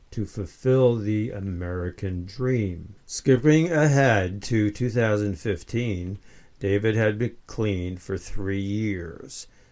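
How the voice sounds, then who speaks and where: Here a man speaks at a very slow pace. His pitch is fairly low. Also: very clean recording, silent background. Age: 70s. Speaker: author. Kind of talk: reading aloud.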